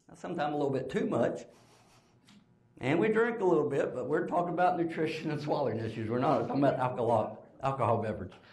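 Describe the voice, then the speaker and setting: A man talks at a very fast pace, his pitch swinging very widely. Room echo is audible, and there's noticeable background noise. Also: fairly high pitch for a man. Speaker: speech pathologist. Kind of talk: conference lecture. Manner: casual, conversational.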